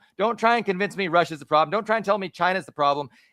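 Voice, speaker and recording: Loud and shouting, a man with a high pitch and a bright, sharp tone comes through in a dry, close sound with no echo. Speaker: podcast co-host. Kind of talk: live-streamed political discussion. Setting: live stream with remote co-host. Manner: loud, yelling; animated, halting with restarts.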